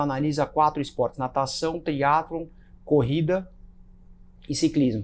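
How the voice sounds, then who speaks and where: A man speaks with a fairly high pitch. Light background noise sits behind him. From Brazil. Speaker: podcast host and runner; podcast host. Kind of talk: casual chat. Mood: relaxed, friendly. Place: home room. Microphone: lapel.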